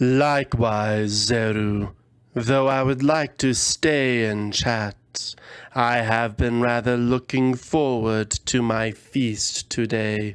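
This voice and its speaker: Using a put-on character voice, a man speaks in a resonant tone at a medium pitch and a very slow pace, on a very clean recording with a silent background. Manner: polite, courteous.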